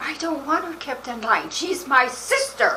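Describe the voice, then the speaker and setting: A woman's put-on character voice at an extremely high pitch, moderate in pace, over clear background noise. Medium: short film. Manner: sharp, probing.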